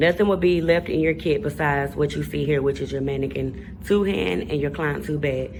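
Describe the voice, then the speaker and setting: Speaking at a fairly quick pace, a woman uses a very deep, low pitch and lively intonation. Noticeable background noise runs behind her. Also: hardly any pauses. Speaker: nail technician tutorial creator. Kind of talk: voice-over tutorial. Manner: fast.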